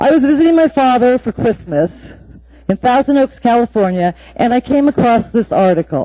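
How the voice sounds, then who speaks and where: Fairly slowly and with lively intonation, a woman speaks in a fairly high voice over noticeable background noise. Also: dry, close sound with no echo. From Alaska (Anchorage). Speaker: city engineer giving public testimony. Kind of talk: public testimony. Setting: municipal assembly meeting. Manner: formal.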